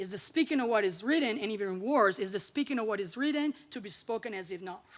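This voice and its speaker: On a very clean recording with a silent background, a woman with an Italian accent talks at a fairly quick pace, her pitch fairly high and her intonation lively. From Italy. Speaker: linguistics academic, keynote speaker. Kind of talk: lecture.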